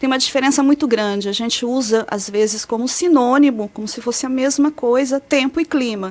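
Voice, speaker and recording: Talking at a fairly quick pace with hardly any pauses, a high-pitched woman uses ordinary pitch variation over noticeable background noise. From São Paulo state, Brazil. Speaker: meteorologist researcher. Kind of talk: interview explanation.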